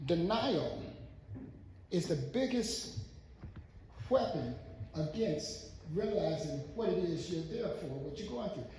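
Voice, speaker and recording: A man with an American accent speaks at a high pitch with lively intonation. He goes at a very slow pace with long, frequent pauses amid audible room echo. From Michigan. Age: 60s. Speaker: audience member. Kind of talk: public comment at a community event.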